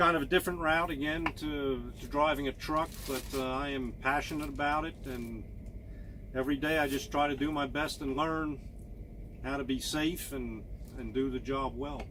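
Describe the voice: Fairly even intonation shapes a man's medium-pitched voice. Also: moderate pace.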